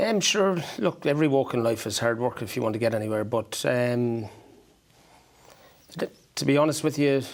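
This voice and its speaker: A man with a medium-pitched voice talks at a moderate pace, his pitch varying ordinarily, and pauses often and at length. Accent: Irish. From Ireland. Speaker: horse breeder. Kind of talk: interview. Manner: hesitant.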